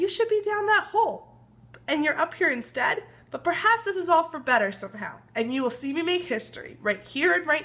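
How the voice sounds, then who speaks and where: A woman uses a put-on character voice, hoarse and at an extremely high pitch. Her pitch swings very widely, and her pace is fairly quick. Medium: read story.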